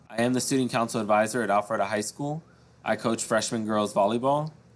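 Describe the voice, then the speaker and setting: With an American accent, a man of medium pitch talks with fairly even intonation. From US South, South Florida. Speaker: high school teacher. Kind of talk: recorded presentation to parents. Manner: loud at times; hesitant, many fillers.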